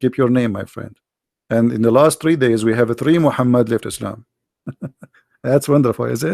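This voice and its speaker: A man speaks at a moderate pace in a medium pitch with a dark, mellow tone, ordinary pitch variation and long, frequent pauses, and the sound is dry and close with no echo. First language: Arabic. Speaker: religious debater. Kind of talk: live debate show. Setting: live online broadcast.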